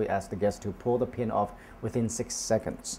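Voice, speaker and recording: Speaking at a fairly quick pace, a man uses a medium pitch and fairly even intonation in a dark, mellow tone. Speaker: hotel manager interviewee. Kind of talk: interview answer.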